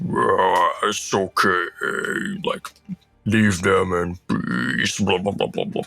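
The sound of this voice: With music in the background, a man performs a put-on character voice at a very slow pace, leaving long, frequent pauses.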